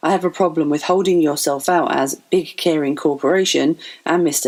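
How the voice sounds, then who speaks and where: The pace is fairly quick, with ordinary pitch variation. The speaker has an English accent. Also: woman. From England. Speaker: financial advisor. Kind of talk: podcast monologue.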